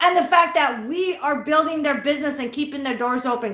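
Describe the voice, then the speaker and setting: A woman talks loud at a moderate pace in an American accent. Her pitch is high, and her tone is animated. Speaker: livestreamer. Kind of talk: angry rant on a livestream.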